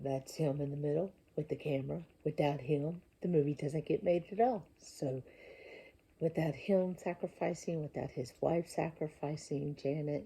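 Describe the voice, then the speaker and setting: A quiet, very deep, low woman's voice, dark and mellow, somewhat breathy, with ordinary pitch variation at a moderate pace. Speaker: independent filmmaker. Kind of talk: casual talk to camera. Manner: lowered voice, quiet; halting.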